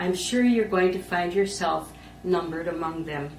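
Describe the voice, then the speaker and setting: With a Wisconsin accent, a woman talks at a moderate pace amid noticeable background noise and audible room echo. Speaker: lay ministry educator. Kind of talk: conference presentation. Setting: conference talk recording. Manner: formal.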